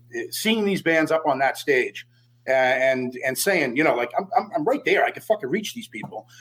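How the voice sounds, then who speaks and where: A man with a strong Boston accent, talking at a fairly quick pace with lively intonation. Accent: Boston accent, still strong. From Boston, US. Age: 40s. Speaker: death metal vocalist. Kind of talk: casual interview.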